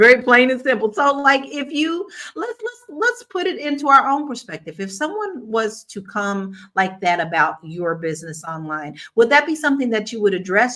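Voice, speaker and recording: A woman with a Southern US accent talks at a fairly quick pace and a fairly high pitch. Her tone is bright and sharp, with very wide pitch swings. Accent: Southern country twang. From Kentucky, US South. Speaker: talk show host. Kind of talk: casual panel discussion.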